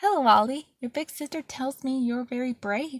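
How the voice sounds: Put-on character voice, squeaky, at a moderate pace. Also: woman, high pitch for a woman.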